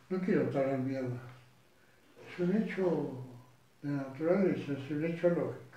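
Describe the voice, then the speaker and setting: A man talks at a fairly slow pace with lively intonation. The room echo is audible. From Argentina. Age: 80s+. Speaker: retired lawyer and judge. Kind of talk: interview. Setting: at home. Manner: halting.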